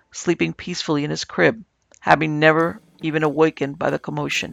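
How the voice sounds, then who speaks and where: Fairly quick speech from a man, dry and close with no echo, over background music. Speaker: podcast narrator. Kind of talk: scripted ghost story narration, reading listener-submitted tales aloud. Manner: hushed, suspenseful, measured storytelling pace.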